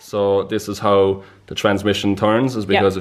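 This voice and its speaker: A man with an Irish accent, fairly low in pitch, monotone and flat in intonation, at a moderate pace. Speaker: mechanic explaining how a clutch works. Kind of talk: casual, conversational.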